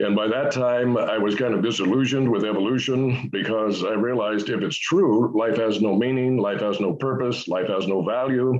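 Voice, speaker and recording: A man speaks with hardly any pauses and very even loudness. Noticeable background noise sits behind him. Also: ordinary pitch variation, moderate pace. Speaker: creationist scientist. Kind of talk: interview.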